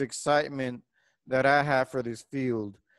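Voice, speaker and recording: A man's fairly high-pitched voice with a Spanish accent and fairly even intonation, in a very clean recording with a silent background and a dry, close sound with no echo. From Puerto Rico. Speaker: engineering professor. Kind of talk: lecture. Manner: hesitant, many fillers.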